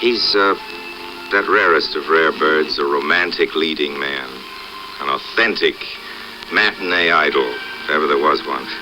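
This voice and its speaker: Music plays in the background as the speaker talks at a moderate pace in a relaxed tone. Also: man. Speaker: actor and filmmaker. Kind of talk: documentary narration to camera. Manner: relaxed, wry.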